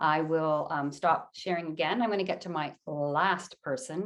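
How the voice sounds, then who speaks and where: A woman's fairly low voice, a plain, everyday voice. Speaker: arts presenter and interviewer. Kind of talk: online presentation. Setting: video call.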